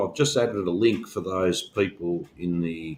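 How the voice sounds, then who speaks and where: This man has an Australian accent and lively intonation. He talks at a moderate pace. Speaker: union organizer and podcast co-host. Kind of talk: casual discussion. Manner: halting, many fillers.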